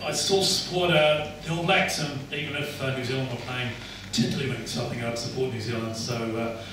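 In a room with strong echo and noticeable background noise, a man talks at a fairly quick pace with ordinary pitch variation. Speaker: guest. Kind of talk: after-dinner speech. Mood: light, humorous. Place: hall.

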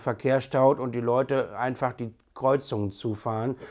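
A plain, everyday voice from a man, medium in pitch, at a moderate pace with fairly even intonation over a quiet background. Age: 30s. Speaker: bus driver and hobby landscape photographer. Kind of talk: personal introduction video. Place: home room.

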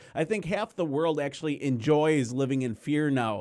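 Against a quiet background, a man with an American accent speaks at a moderate pace in a fairly high pitch. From US Midwest. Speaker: producer and protest journalist; protest journalist. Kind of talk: interview. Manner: casual. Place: studio. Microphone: studio mic.

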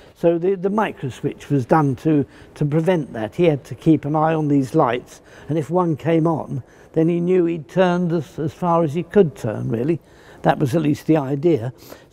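Speaking at a moderate pace with few pauses, a man has a fairly high, dark, mellow voice with vocal fry and ordinary pitch variation.

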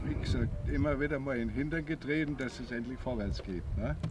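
A man is speaking. Noticeable noise sits in the background. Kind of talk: interview answer. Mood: reflective, relaxed. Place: open country.

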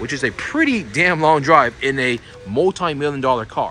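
Over light background noise, a man's voice swings very widely in pitch, the sound dry with no echo. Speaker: car vlogger. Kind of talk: casual vlog commentary. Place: street. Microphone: phone near.

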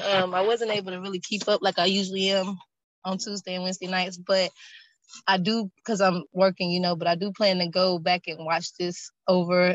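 Speaking at a fairly quick pace, a woman keeps a monotone, flat intonation at medium pitch. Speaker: class participant. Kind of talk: testimony. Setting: online group call.

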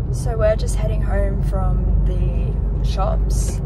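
Loud noise runs behind the woman's voice. No echo colors the dry sound. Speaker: vlogger. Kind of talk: casual vlog chat. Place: car. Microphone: phone near.

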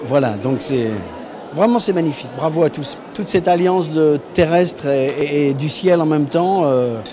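Over noticeable background noise, a man with a fairly high pitch speaks at a fairly slow pace with ordinary pitch variation. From France. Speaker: voice actor. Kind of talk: interview answer. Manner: enthusiastic, hesitant. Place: hall. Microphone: handheld.

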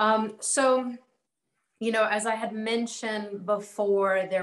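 Against audible room echo, a woman speaks very slowly with fairly even intonation. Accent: American. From US Mid-Atlantic (Maryland / DC area); US Mid-Atlantic. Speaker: consumer credit advocate; panelist. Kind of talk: online panel discussion. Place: home room. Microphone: webcam.

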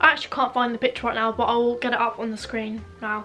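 Over music in the background, a woman talks very fast with a southern English accent. Her fairly high voice is monotone, with flat intonation. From Isle of Wight, England. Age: young. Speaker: lifestyle vlogger. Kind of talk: casual talk to camera. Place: home room. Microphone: camera far.

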